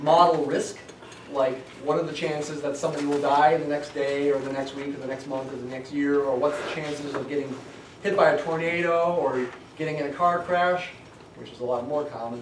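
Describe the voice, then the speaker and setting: A man speaks at a fairly quick pace, with audible room echo and light background noise around him. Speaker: college statistics instructor. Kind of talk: lecture. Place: classroom. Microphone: camera far.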